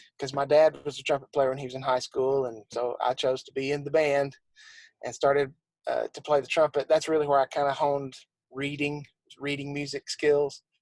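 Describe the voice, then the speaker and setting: Recorded dry and close with no echo, a man with a Southern accent talks fairly quickly in a fairly high, monotone, flat voice. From South Carolina. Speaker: church musician and arranger. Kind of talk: interview.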